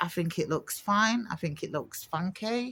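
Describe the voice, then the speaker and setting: This woman uses a normal speaking voice with lively intonation. Her pace is moderate. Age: 50s. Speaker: vlogger, cancer survivor. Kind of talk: casual personal vlog. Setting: at home with her dog. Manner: casual with filler words.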